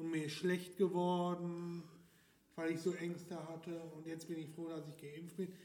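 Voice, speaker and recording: Through room echo and noticeable background noise, a man speaks fairly slowly in a high, monotone voice with big swings in loudness. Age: 20s. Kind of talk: casual interview.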